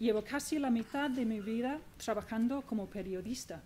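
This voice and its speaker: A woman with a non-native accent speaks at a fairly slow pace, her voice fairly high. Her tone is dark and mellow, with ordinary pitch variation. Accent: foreign accent in Spanish. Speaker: magazine journalist. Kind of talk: book presentation speech.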